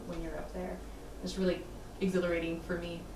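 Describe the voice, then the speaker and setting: There is noticeable background noise. A woman talks over it. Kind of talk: interview answer. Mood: warm, enthusiastic.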